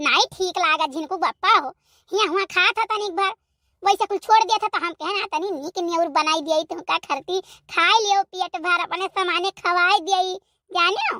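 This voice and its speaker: A woman does a squeaky, cartoonish character voice at an extremely high pitch and a moderate pace. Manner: wheedling, scheming.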